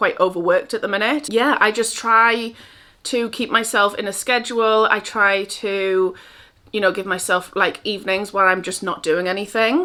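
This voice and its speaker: A woman with a Geordie accent speaks at a moderate pace in a fairly high voice with a bright, sharp tone and ordinary pitch variation, recorded very cleanly against a silent background. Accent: North East England (Geordie). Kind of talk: casual talk to camera. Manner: relaxed, chatty.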